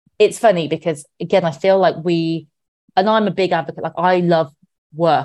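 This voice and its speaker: A woman in a British accent at a moderate pace, over a quiet background. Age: 30s. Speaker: money expert. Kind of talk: casual chat.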